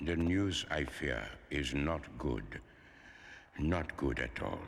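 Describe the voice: A cartoonish character voice moves at a slow pace with lively intonation. Vocal fry runs through it. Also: man, extremely low pitch for a man.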